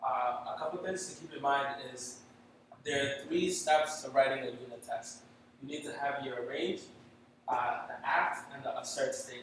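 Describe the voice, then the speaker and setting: Speaking with a non-native accent at a moderate pace, a man uses a fairly high pitch and fairly even intonation, his loudness swinging widely, with audible room echo. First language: not English. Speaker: software developer. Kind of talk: tech talk presentation. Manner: halting, many fillers.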